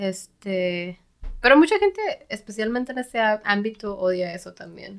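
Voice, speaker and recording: A woman's plain, everyday voice at medium pitch and moderate pace, ordinary pitch variation, big swings in loudness. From Mexico, Tijuana. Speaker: software developer. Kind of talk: casual chat.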